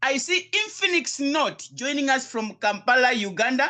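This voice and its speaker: A man speaks at a moderate pace in an extremely high pitch, his raised, projected voice carrying an energetic tone. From South Africa. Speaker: crypto business coach. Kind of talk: live online business presentation. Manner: energetic, repetitive.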